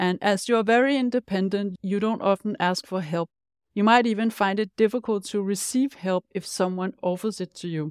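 In a very clean recording with a silent background and a dry, close sound with no echo, a woman speaks with a Danish accent. Her medium pitch shows ordinary variation at a moderate pace. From Denmark. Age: 50s. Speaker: life coach and podcast host. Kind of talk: scripted-style solo podcast monologue.

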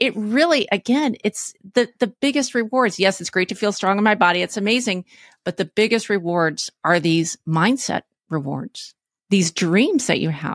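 On a very clean recording with a silent background and a dry, close sound with no echo, a woman with an unremarkable speaking voice talks at a moderate pace in a medium pitch with lively intonation. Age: 50s. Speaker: fitness coach. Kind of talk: interview.

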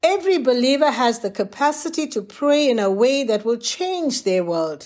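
On a very clean recording with a silent background, a woman speaks at a moderate pace. Her pitch swings very widely. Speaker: devotional teacher. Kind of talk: fervent prayer-style preaching, urgent exhortation with repeated 'pray, pray, pray'. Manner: intense, emphatic, pleading; earnest, instructive.

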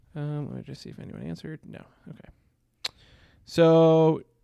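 A fairly high-pitched man with an American accent on a very clean recording with a silent background. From New York. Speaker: disc golf podcast co-host. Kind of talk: casual chat. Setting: live stream from hotel room. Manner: loud.

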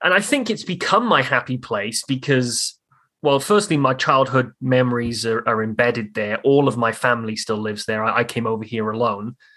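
Speaking with a Welsh accent at a moderate pace, a man of medium pitch has a bright, sharp tone and ordinary pitch variation over a quiet background. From South Wales, Newport. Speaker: commercial real estate broker. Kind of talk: casual interview.

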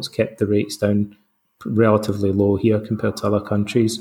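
A man with a Scottish accent speaks in a fairly low pitch. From Scotland. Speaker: psychotherapist and Stoicism author. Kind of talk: interview.

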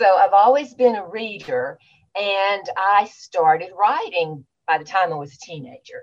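Speaking with a Southern US accent, a woman uses lively intonation at a fairly slow pace, her loudness swinging widely. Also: medium pitch for a woman. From Louisiana, small town. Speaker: author. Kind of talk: interview.

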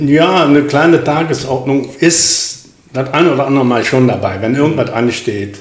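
A man's fairly high voice with audible room echo and noticeable background noise. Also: ordinary pitch variation, moderate pace. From Krefeld-Oppum, Lower Rhine, Germany. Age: 70s. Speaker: retired welder and rifle club officer. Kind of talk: casual interview.

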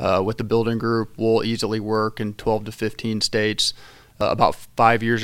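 With a Midwestern American accent, a man talks at a fairly quick pace in a medium pitch. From southeastern Illinois, rural. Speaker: construction company executive. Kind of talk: casual interview.

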